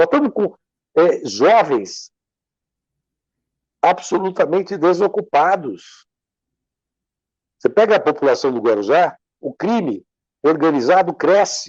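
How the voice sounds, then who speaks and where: In a quiet background, a man talks at a fairly slow pace in an animated tone, taking long, frequent pauses. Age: 60s. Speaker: civil engineer and lawyer, interview guest. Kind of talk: interview, discussion. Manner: animated, emphatic.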